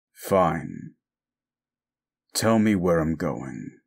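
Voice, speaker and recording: Gruff and very deep, a man's low-pitched put-on character voice comes through. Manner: sarcastic.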